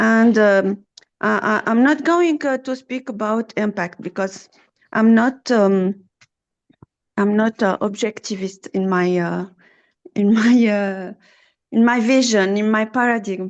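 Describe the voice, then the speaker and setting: Pausing long and often, a woman with a French accent and fairly high pitch talks at a fairly slow pace. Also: ordinary pitch variation. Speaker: trainer of soft skills. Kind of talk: online Q&A session. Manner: halting, many fillers.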